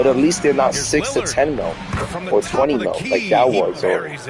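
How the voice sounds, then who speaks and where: A man's voice is heard with audible room echo and music in the background. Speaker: gaming livestreamer. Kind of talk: casual gameplay commentary. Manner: quiet, focused.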